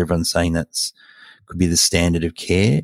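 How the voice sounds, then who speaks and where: In a very clean recording with a silent background and a dry, close sound with no echo, a man with an Australian accent speaks in a very deep, low voice. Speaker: podcast host, oncologist. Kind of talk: expert panel discussion.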